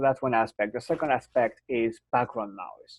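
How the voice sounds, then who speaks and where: The man's intonation stays fairly even at a moderate pace. He speaks with a strong non-native accent. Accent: strong foreign. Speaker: software product executive. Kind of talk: webinar product demo Q&A. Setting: online webinar. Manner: halting, many fillers.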